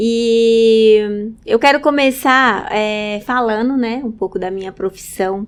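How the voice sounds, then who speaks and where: A woman with a fairly high pitch speaks at a very slow pace, with hardly any pauses and fairly even intonation. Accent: northern Minas Gerais. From northern Minas Gerais, Brazil (Montes Claros region). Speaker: hairdresser. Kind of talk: interview conversation. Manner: halting, many fillers.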